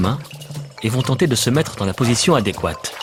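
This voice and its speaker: Music plays in the background. Over it, a man speaks at a medium pitch and a moderate pace. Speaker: voice actor. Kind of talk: nature documentary voice-over. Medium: dub.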